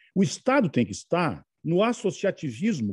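A man speaks at a very slow pace, somewhat breathy, with a dry, close sound with no echo and a quiet background. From Rio Grande do Sul north coast, Brazil. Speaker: federal politician. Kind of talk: interview answers.

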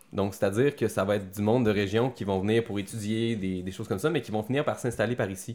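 A man at a very fast pace, fairly low in pitch and fairly even in intonation. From Quebec City. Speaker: actor and army veteran. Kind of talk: casual interview.

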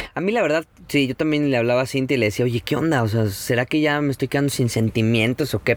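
Noticeable background noise surrounds a man speaking at a fairly quick pace, the sound dry and close with no echo. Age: 30s. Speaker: travel photographer and podcaster. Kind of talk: casual chat. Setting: outdoors by the sea in a camper van.

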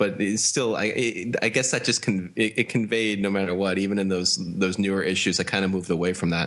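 A man's fairly low voice moves at a very fast pace. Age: 30s. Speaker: podcast co-host, comics collector blogger. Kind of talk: casual chat. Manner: halting, repeats words.

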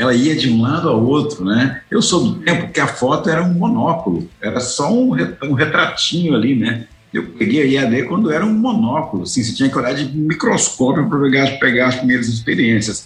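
Over noticeable background noise and audible room echo, a man speaks with very wide pitch swings and very even loudness. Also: fairly high pitch for a man, moderate pace, hardly any pauses. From Goiás, Brazil. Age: 60s. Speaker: distance education consultant. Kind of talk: interview. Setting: office studio.

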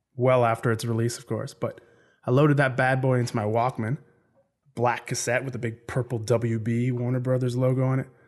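Speaking at a fairly quick pace, a man with a medium pitch and a Canadian accent sounds animated. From Canada. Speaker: podcast host. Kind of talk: casual monologue.

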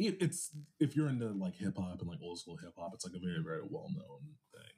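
This man has an American accent. His pace is fairly quick. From Los Angeles, US. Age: 30s. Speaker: star reader and musician. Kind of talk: casual chat.

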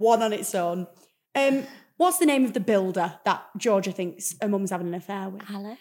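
Music plays behind a voice that moves at a moderate pace, with ordinary pitch variation and big swings in loudness. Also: woman, medium pitch for a woman. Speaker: podcast host. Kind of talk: casual interview chat. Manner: excitable.

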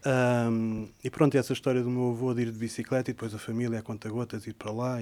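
In a Lisbon accent, the speaker delivers a monotone, flat line with a dark, mellow tone at a moderate pace, recorded very cleanly over a silent background. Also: man. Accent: European Portuguese (Lisbon region). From Portugal, Sintra area near Lisbon. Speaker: poet, translator and editor. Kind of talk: interview. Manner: halting, with frequent repetitions.

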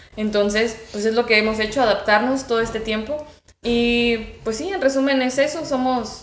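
A woman at a moderate pace with fairly even intonation, amid noticeable background noise and audible room echo. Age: 20s. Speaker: student and guest on youth topics. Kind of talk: casual interview.

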